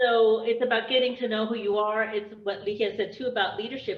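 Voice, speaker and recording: A woman's fairly high-pitched voice. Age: 50s. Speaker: women's circle participant. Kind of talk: casual chat. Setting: video call. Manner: animated.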